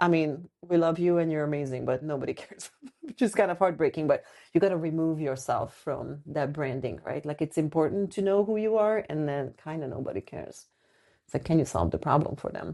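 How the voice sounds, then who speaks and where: A woman speaks at a fairly quick pace in a very deep, low voice with a non-native accent. Her tone is dark and mellow, her pitch varies in an ordinary way, and the background is quiet. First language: not English. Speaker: podcast co-host, designer and brand strategist. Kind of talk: casual chat.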